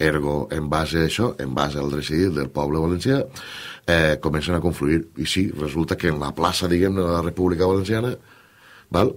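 This man's voice is very deep and low in pitch, with ordinary pitch variation. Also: moderate pace. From Valencia region, Canals (La Costera); Valencia region, Spain. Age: 40s. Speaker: politician. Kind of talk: radio interview. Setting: radio studio. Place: studio.

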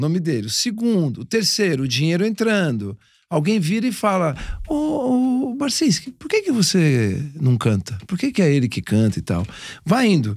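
Against a quiet background, a man with a high voice makes very wide pitch swings, the sound dry with no echo. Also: moderate pace. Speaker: podcast co-host, music producer; podcast co-host. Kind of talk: casual chat. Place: studio. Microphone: studio mic.

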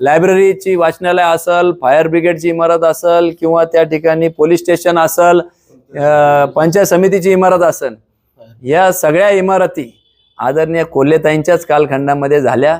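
Speaking in a high pitch for a man, this man keeps fairly even intonation and very even loudness. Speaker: local politician. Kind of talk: press conference statement. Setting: press conference.

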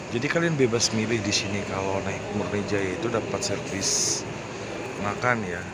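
Loud background noise surrounds a man speaking at a moderate pace. The sound itself is dry with no echo. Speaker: bus travel vlogger. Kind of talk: casual vlog chat. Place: hall. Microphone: phone near.

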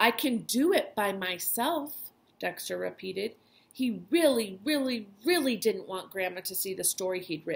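An unforced reading voice. The intonation is lively.

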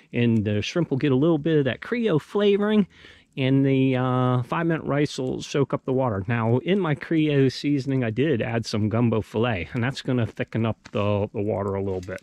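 Against a quiet background, a man speaks at a fairly quick pace, with a dry sound and no echo. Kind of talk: casual vlog chat. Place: forest.

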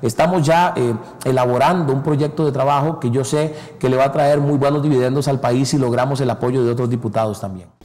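Fairly quick delivery from a man, his pitch varying in an ordinary way. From Costa Rica. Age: 30s. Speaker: politician; interviewee. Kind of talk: interview. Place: studio. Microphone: lapel.

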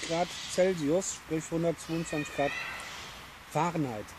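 Clear background noise sits behind this man's voice. He talks at a fairly slow pace with fairly even intonation.

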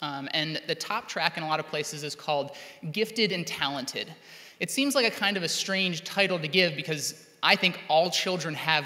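This man has a bright, sharp tone and ordinary pitch variation. He talks at a moderate pace against a quiet background. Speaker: teacher giving keynote. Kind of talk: keynote speech. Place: hall. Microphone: podium.

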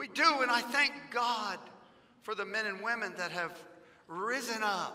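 The man's voice is raised and projected. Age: 50s. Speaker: pastor. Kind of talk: fiery political sermon, pounding the pulpit with repetition. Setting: church sanctuary, live-streamed. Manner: impassioned and insistent, stacking repeated phrases for emphasis; folksy and joking with the congregation. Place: church. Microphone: headset.

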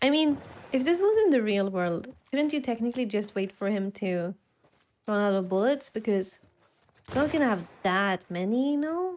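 Speaking in a Swedish accent at a moderate pace, a woman with a fairly high pitch makes very wide pitch swings and takes long, frequent pauses. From Sweden. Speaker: gaming video creator. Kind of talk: casual gameplay commentary. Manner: excitable, loud at times; animated, laughs often. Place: home room. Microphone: studio mic.

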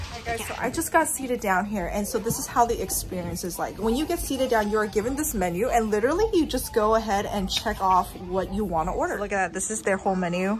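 Over noticeable background noise, a woman talks at a very fast pace with lively intonation and hardly any pauses. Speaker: food vlogger. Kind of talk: casual vlog chat. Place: cafe. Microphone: phone near.

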